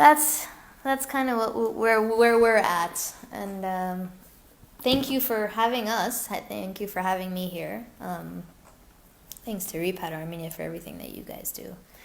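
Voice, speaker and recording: With an American accent, a woman speaks at a fairly slow pace and medium pitch, using lively intonation and big swings in loudness, while room echo is audible. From US West Coast, Glendale, California. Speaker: English teacher, repatriate. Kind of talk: webinar interview Q&A. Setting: live webinar. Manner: animated.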